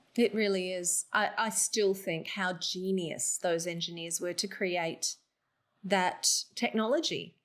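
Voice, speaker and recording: In a very clean recording with a silent background, a woman with an Australian accent speaks very slowly at a medium pitch with fairly even intonation. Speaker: voice actor. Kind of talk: interview answer.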